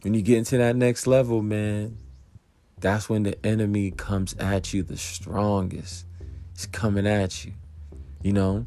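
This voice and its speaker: With long, frequent pauses, a man talks at a fairly slow pace in a fairly low, dark, mellow voice with fairly even intonation, and the room echo is audible. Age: 30s. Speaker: podcast host. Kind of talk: casual motivational monologue.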